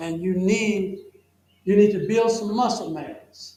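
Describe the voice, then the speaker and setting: Audible room echo surrounds a man whose high voice moves at a fairly slow pace. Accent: Southern US. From US South. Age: 70s. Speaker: health educator. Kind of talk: health seminar Q&A answer.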